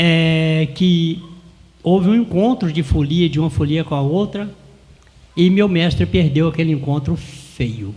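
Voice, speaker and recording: Ordinary pitch variation at a very slow pace. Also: man. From Brazil, Rio de Janeiro state interior (Porciúncula). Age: 70s. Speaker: cordel poet and folia de reis singer. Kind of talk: interview.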